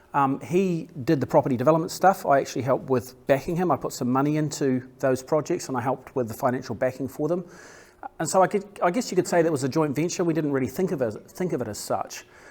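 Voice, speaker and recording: Delivered at a very fast pace, this voice carries a New Zealand accent. Its pitch varies in an ordinary way. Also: man, fairly high pitch for a man. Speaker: property developer. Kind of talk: business presentation. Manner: halting, many fillers and repeats.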